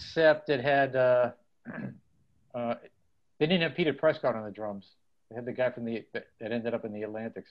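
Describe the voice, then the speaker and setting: A man at a medium pitch with ordinary pitch variation, big swings in loudness and long, frequent pauses. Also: moderate pace. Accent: Boston. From Dorchester, Boston. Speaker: punk musician. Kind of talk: casual interview.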